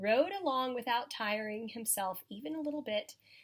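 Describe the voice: The speaker does plain reading aloud. Pitch variation is ordinary.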